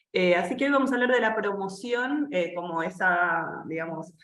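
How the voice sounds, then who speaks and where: Lively intonation from a woman at medium pitch and moderate pace, with audible room echo. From Argentina, Buenos Aires. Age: 30s. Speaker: editor and cultural journalist. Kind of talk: online seminar presentation. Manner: hesitant fillers.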